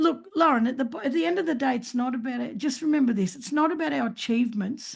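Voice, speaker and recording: Lively intonation marks this woman's speech in an Australian accent. Her pitch is high. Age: 60s. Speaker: speaker and author. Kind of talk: podcast interview. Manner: animated.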